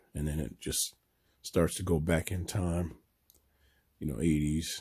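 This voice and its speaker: The voice has a dark, mellow tone and sounds somewhat breathy. It moves at a moderate pace with a monotone, flat intonation. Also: man. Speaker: sports fan YouTuber. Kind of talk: casual room tour. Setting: home room.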